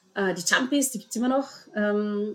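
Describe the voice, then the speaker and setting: A woman talks over noticeable background noise. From Vorarlberg, Austria. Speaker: dance school owner. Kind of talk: podcast interview.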